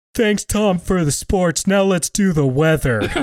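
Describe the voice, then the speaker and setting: A put-on character voice at a middle pitch comes through at a moderate pace. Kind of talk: broadcast announcer. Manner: cheesy, upbeat, scripted.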